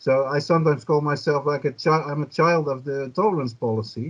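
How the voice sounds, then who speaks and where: A man speaks with a Dutch accent at fairly high pitch. His pitch variation is ordinary. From Netherlands. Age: 50s. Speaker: journalist and cannabis activist. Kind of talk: podcast interview.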